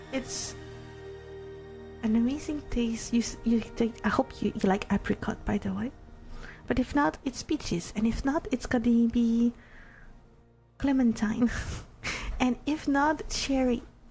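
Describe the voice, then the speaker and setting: Over music in the background, a woman talks at a fairly high pitch and fairly slow pace, with ordinary pitch variation and long, frequent pauses. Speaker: ASMR streamer (virtual avatar). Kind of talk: interactive ASMR story. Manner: whispered, soft-spoken.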